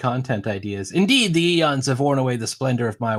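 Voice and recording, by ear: A natural voice reading out loud.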